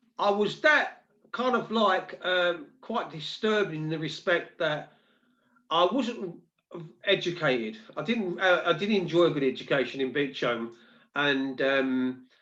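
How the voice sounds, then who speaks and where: A man with a London accent speaks at a fairly slow pace, his high pitch carried by lively intonation. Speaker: live stream host. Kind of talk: casual chat.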